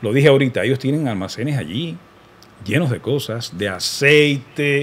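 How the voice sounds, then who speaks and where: A man speaks at a moderate pace. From Cuba. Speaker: radio announcer. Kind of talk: political commentary to camera. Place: studio. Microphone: studio mic.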